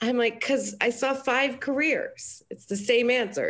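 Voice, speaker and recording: A woman speaks with an American accent. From Colorado, US. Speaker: business coach. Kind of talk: casual interview.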